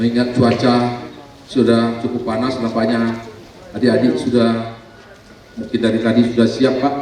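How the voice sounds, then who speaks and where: A man speaks at a moderate pace in a medium pitch with flat, monotone intonation and long, frequent pauses, with audible room echo and noticeable background noise. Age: 60s. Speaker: local politician, former teacher. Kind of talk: ceremonial speech.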